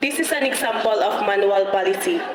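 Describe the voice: A woman's fairly high voice at a moderate pace, with ordinary pitch variation and audible room echo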